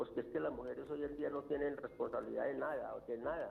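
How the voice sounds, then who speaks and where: Music plays in the background. A man is speaking. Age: 70s. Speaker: caller. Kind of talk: phone-in opinion. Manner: halting, repeats words.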